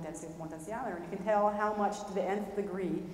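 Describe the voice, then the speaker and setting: A woman with an American accent talks very fast at a medium pitch with fairly even intonation, amid noticeable background noise and audible room echo. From Brooklyn, New York. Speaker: professor and researcher. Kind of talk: lecture. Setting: lecture hall with audience.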